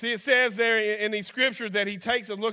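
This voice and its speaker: A man with a Kentucky accent speaks in a raised, projected voice at a high pitch and a very fast pace. His tone is animated, bright and sharp, in a very clean recording with a silent background. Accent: Kentucky Southern US. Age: 50s. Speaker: guest preacher. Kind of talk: folksy Pentecostal-style sermon, conversational with scripture and personal stories. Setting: church service with congregation, streamed live. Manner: animated, folksy country-preacher delivery with repetitions and asides.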